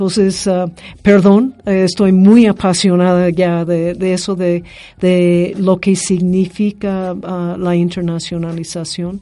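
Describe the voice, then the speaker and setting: This woman speaks at a very slow pace with an English accent. Her tone is dark and mellow, her intonation monotone and flat. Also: medium pitch for a woman. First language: English (speaking Spanish). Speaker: university director. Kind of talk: interview. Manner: halting, many fillers.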